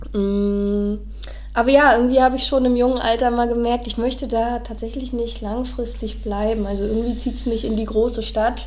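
Noticeable background noise fills the clip. Against it, a woman talks at a moderate pace. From northeastern Germany (Neubrandenburg). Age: 30s. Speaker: podcast co-host. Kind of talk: casual chat. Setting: studio, sitting side by side.

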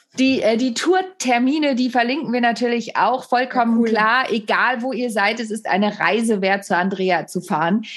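This woman has an unremarkable speaking voice with a fairly high pitch. She talks at a moderate pace with ordinary pitch variation. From Germany. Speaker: podcast host and comedian. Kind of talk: casual interview.

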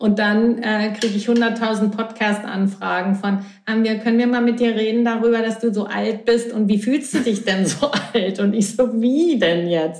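A woman speaks at a fairly slow pace with very even loudness, amid noticeable background noise and audible room echo. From Berlin, Germany. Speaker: healer. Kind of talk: casual interview. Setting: remote from Italy.

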